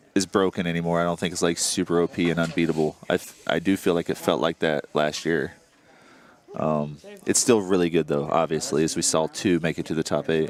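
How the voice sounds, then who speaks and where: Noticeable background noise runs under this fairly quick-paced speech. The man's voice is very deep and low, with fairly even intonation. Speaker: tabletop game tournament caster. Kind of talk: live commentary. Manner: loud.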